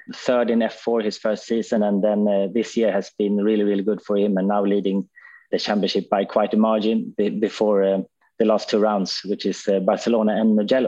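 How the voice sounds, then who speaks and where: A man with a Swedish accent speaks in a fairly low pitch, his loudness very even and his intonation flat and monotone. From Sweden. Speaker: former racing driver, driver manager. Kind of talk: casual chat.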